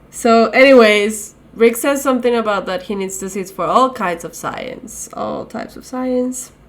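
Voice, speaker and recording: A woman speaks at a moderate pace with a non-native accent and a fairly high pitch, with hardly any pauses. Her pitch varies in an ordinary way while her loudness swings widely. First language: not English. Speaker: podcast co-host. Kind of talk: casual chat. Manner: animated.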